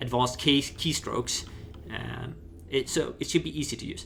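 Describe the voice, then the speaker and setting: The accent is non-native. Pitch varies in an ordinary way. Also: man. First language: not English. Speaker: gaming YouTuber. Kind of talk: gameplay tutorial. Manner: halting, with fillers and false starts.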